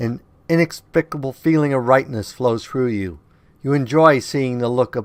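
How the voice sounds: A natural reading voice. Its pitch varies in an ordinary way.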